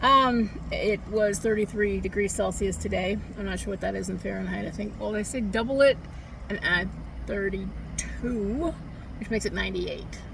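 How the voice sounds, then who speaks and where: Speech moves at a moderate pace over noticeable noise in the background. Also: woman. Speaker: author reading own fiction. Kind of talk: casual talk to camera.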